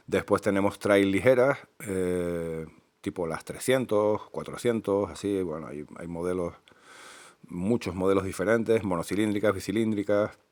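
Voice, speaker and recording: Recorded very cleanly over a silent background, a man with a fairly low pitch shows ordinary pitch variation and big swings in loudness. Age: 50s. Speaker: motorcyclist, enduro rider. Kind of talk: improvised casual talk about motorbikes. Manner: hesitant, many fillers.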